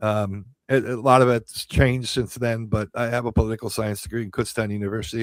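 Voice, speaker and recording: Talking fairly quickly in an American accent, a man with a medium-pitched voice speaks in a flat monotone, the sound dry and close with no echo. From Pennsylvania, Allentown. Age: 60s. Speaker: radio host and county judge candidate. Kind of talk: campaign talk on radio show. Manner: halting, many fillers and repeats.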